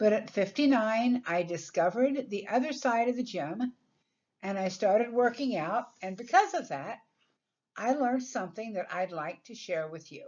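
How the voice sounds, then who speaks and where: In a normal speaking voice, a woman talks at a moderate pace and fairly high pitch, with big swings in loudness. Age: 60s. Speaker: personal trainer. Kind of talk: recorded presentation narration.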